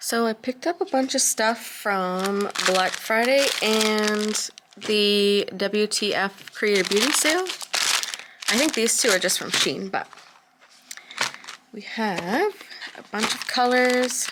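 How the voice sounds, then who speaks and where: A woman with a fairly high pitch and ordinary pitch variation speaks at a very slow pace amid noticeable background noise. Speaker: nail polish reviewer. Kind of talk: casual talk to camera.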